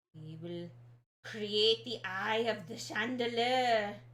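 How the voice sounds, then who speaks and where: A put-on character voice that sounds female speaks at a very slow pace and a medium pitch. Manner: theatrical.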